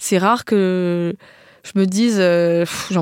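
Recorded very cleanly against a silent background, with a dry, close sound and no echo, a woman speaks at medium pitch. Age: 30s. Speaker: war photojournalist. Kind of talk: interview. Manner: halting.

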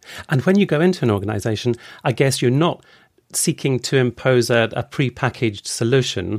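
An ordinary speaking voice from a man at medium pitch, fairly quick and very even in loudness, with lively intonation and a dry, close sound with no echo. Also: very clean recording, silent background. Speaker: podcast host. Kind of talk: interview.

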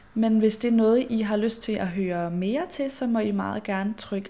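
A woman's dark, mellow tone at a fairly slow pace. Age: 20s. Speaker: podcast host and influencer. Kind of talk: solo casual monologue.

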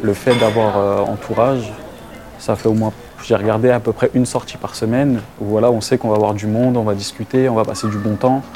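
The speech is fairly quick and monotone, with flat intonation over noticeable background noise. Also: man, medium pitch for a man. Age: 30s. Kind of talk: interview testimony.

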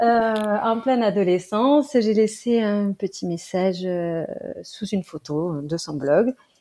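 A woman's dark, mellow tone at a very slow pace, lively intonation, and a very clean recording over a silent background. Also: medium pitch for a woman. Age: 30s. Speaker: mother. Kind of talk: interview testimony. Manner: hesitant with fillers.

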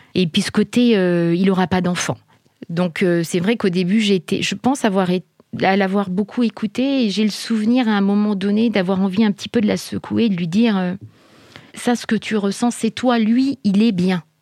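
Calm and at a moderate pace, a woman speaks in a medium pitch with a dark, mellow tone and fairly even intonation, in a dry, close sound with no echo. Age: 40s. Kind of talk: testimony. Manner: halting, hesitant.

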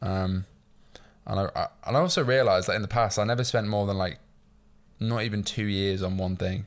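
Someone with a Yorkshire accent talks at a fairly quick pace with long, frequent pauses on a very clean recording with a silent background. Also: man, fairly low pitch for a man, ordinary pitch variation. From northern England, York. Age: 20s. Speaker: entrepreneur. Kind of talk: casual chat.

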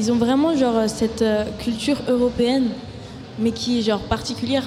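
Background noise is noticeable, and the room echo is audible. Through it, a woman talks at a moderate pace. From Paris suburbs, France. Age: 20s. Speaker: singer-songwriter. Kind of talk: casual interview. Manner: halting.

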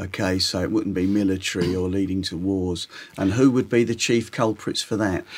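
A London accent at a moderate pace with fairly even intonation. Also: man, fairly low pitch for a man. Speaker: podcast host, taxi driver. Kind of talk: interview.

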